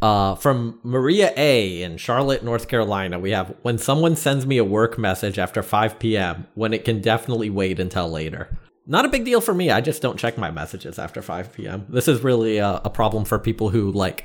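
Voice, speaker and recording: Pitch rises and falls in an ordinary way. The words come at a fairly quick clip. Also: man. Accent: American. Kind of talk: casual chat.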